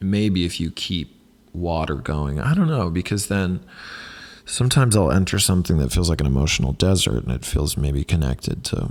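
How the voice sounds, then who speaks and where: A soft-spoken man talks with lively intonation in a very deep, low pitch. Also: moderate pace. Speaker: podcast host and actor. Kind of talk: solo casual monologue. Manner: halting, many fillers.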